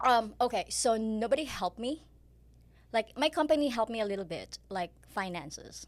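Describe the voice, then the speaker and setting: In a very clean recording with a silent background, a woman with a Filipino accent speaks at a fairly quick pace with lively intonation and vocal fry. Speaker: pharmaceutical sales rep and part-time real estate agent. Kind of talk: podcast interview.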